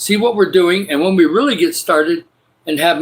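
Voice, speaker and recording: Speaking with a Midwestern US accent, a man talks at a moderate pace in a high pitch. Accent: US Midwest. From Michigan, US. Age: 60s. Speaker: livestreamer. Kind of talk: casual live stream chat. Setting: spare bedroom at home. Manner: enthusiastic.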